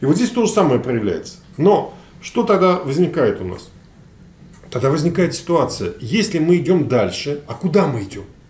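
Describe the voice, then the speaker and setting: A moderate pace with very wide pitch swings and long, frequent pauses, in audible room echo. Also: man, high pitch for a man. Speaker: sociologist; guest. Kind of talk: panel discussion. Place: meeting room.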